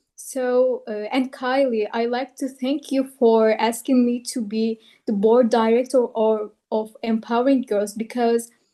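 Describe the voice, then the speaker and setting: A woman with a non-native accent speaks fairly slowly in a fairly high pitch and a dark, mellow tone. Her intonation is monotone and flat. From outside the US. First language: not English. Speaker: board member and co-moderator. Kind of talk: panel discussion remarks. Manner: halting.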